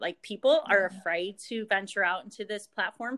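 At a fairly quick pace, a woman with a normal speaking voice talks at a medium pitch with ordinary pitch variation. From Northeast Pennsylvania. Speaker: pharmacist and direct sales leader. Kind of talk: casual interview chat.

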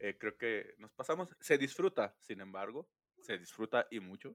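A man talks at a moderate pace in a medium pitch, with lively intonation and a plain, everyday voice. The sound is dry and close with no echo. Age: 30s. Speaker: podcast host. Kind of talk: casual chat.

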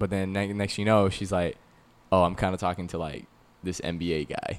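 This man talks in a normal speaking voice with an American accent. His pitch is fairly low, and his pace is fairly quick. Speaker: podcast co-host and producer. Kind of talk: casual chat. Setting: studio.

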